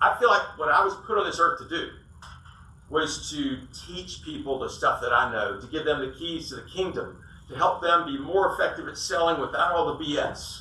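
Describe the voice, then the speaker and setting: A man talks at a moderate pace, his loudness swinging widely. The recording carries noticeable background noise and audible room echo. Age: 60s. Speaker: sales coach and business owner. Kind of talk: business talk to audience.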